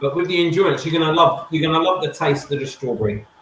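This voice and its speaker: This man's voice sits fairly high for a man, and its pitch varies in an ordinary way. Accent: Essex. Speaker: livestream co-host of food challenge show. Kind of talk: casual chat. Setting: live video stream.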